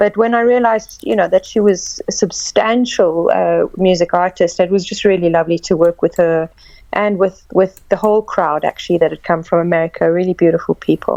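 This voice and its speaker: A woman's dark, mellow voice at a fairly quick pace. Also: dry, close sound with no echo. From South Africa. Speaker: actress. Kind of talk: interview.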